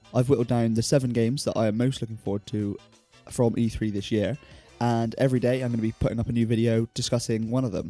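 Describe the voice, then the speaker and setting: At a very fast pace, the speaker talks in a Southern English accent with music in the background. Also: man. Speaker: gaming YouTuber. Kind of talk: casual talk to camera.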